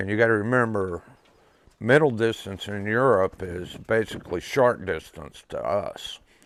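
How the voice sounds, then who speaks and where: This is a normal speaking voice: a man with an American accent, at a medium pitch with ordinary pitch variation. He speaks at a moderate pace in a very clean recording with a silent background. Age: 60s. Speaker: pigeon race loft operator. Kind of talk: interview testimony.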